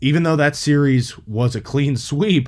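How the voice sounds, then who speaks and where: An unremarkable speaking voice with an American accent moves at a fairly slow pace, with ordinary pitch variation. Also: man. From Pittsburgh, Pennsylvania. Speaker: sports podcast host. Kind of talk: solo sports commentary podcast.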